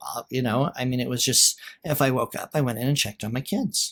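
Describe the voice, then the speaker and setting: A man with a Western American accent speaks at a moderate pace. Noticeable background noise sits behind him. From Utah. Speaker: realtor and writer. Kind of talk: podcast interview answer.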